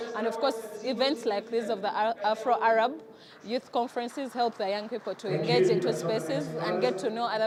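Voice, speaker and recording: A woman talks at a moderate pace in a fairly high voice with ordinary pitch variation, and noticeable background noise can be heard. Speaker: youth leader. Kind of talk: vox pop interview.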